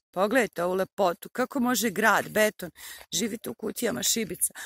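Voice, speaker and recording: Dry sound with no echo over a quiet background. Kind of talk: casual vlog chat. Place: open country. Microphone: phone near.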